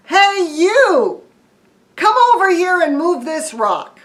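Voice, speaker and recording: A squeaky, put-on character voice, raised and projected, moves at a very slow pace. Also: woman, extremely high pitch for a woman. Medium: read story. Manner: loud, excitable.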